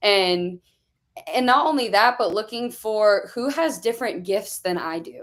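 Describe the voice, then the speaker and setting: A woman's fairly high voice with an American accent, lively intonation and a fairly slow pace. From Arizona. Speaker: student pastor. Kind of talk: live stream panel discussion. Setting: live video stream. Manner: loud.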